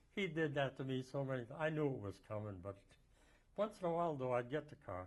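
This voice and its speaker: Somewhat breathy, a man speaks at a medium pitch and a fairly quick pace with lively intonation. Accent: American. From Massachusetts, Lawrence. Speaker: war veteran. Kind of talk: oral history interview. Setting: filmed interview.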